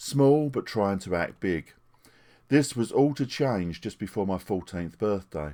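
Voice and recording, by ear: Here a man talks at a fairly slow pace, with a fairly low pitch and a dark, mellow tone. His intonation is lively.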